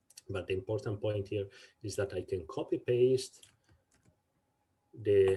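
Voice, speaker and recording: A somewhat breathy, dark, mellow tone at a fairly slow pace. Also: man. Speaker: instructor. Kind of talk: tutorial.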